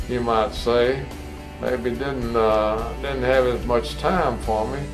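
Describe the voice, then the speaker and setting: Music plays in the background while a man speaks. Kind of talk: interview answer. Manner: slow, hesitant.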